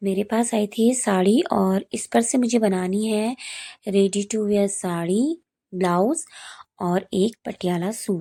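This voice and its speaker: On a very clean recording with a silent background and a dry, close sound with no echo, a woman speaks at a very slow pace in a medium pitch, with a dark, mellow tone and ordinary pitch variation. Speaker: sewing tutorial vlogger. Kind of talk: tutorial.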